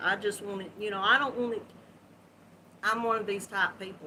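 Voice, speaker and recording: A woman with a Southern US accent speaks at a medium pitch with fairly even intonation. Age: 60s. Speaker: crochet livestream host. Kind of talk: live stream chat with viewers. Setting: live video stream.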